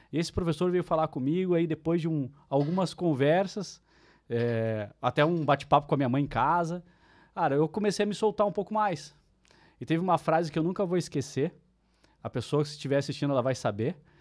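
Over a quiet background, a man talks at a fairly quick pace. His pitch varies in an ordinary way. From Curitiba, Brazil; Brazil. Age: 40s. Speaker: marketing speaker and writer; speaker. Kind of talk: casual interview chat. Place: studio. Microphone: studio mic.

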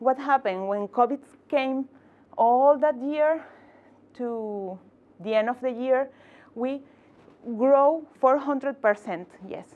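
A woman with a Spanish accent speaks at a very slow pace in a high pitch, with ordinary pitch variation and long, frequent pauses. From Venezuela. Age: 30s. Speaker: tech entrepreneur and community founder; conference speaker. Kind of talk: inspirational talk. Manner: halting, with repetitions and fillers. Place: meeting room.

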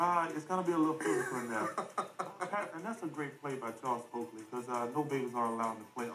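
Over music in the background, a man talks very fast with hardly any pauses, his fairly high voice full of lively intonation. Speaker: basketball player. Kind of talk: sports analysis on TV. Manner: soft-spoken.

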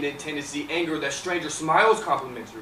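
Delivered at a very fast pace, the speech has a dramatic tone, with light background noise and audible room echo. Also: man. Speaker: talent show performer. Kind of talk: spoken word poetry performance. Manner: rhythmic, dramatic delivery. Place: stage.

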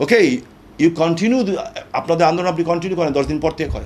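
The pitch of a man's voice varies an ordinary amount as he talks. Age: 60s. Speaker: political speaker. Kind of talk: interview. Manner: impassioned.

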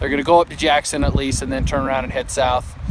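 A man at a very fast pace, dry sound with no echo, loud background noise behind him. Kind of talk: casual vlog chat. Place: waterside. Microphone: phone near.

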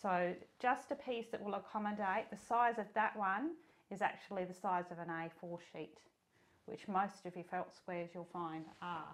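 Moderate pacing and ordinary pitch variation from a woman. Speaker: sewing tutor. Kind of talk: tutorial. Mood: warm, friendly.

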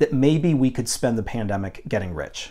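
A man's normal speaking voice at medium pitch, moderate pace and with lively intonation. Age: 30s. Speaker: jazz vinyl collector and YouTuber. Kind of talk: unscripted monologue to camera. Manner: casual, with frequent fillers.

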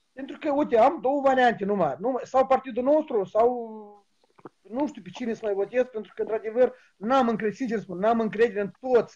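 There is a man talking. Behind him, all is quiet. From Moldova. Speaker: caller. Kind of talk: casual chat. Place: home room. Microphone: video call.

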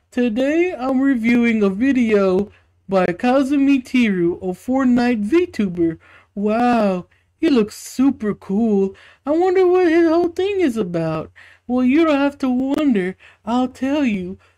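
A woman puts on a character voice, high-pitched and playful. She talks at a fairly slow pace against a quiet background. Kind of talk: mock YouTube review intro. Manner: mocking, playful, escalating.

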